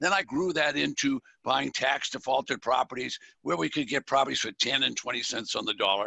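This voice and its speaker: Vocal fry marks a man's medium-pitched voice. He speaks at a fairly quick pace. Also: lively intonation. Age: old. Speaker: podcast host. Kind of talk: interview.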